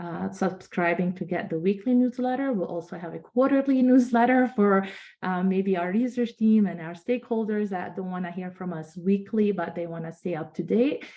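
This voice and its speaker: With a normal speaking voice, a woman at medium pitch talks at a moderate pace with ordinary pitch variation and hardly any pauses. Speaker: nonprofit organization leader. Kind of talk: virtual conference presentation.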